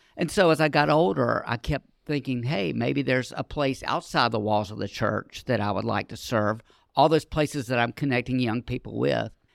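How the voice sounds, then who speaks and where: A man with an American accent speaks at a medium pitch, with ordinary pitch variation and some vocal fry. The sound is dry and close with no echo, on a very clean recording with a silent background. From Charlotte, North Carolina. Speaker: nonprofit community education director. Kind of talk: casual interview.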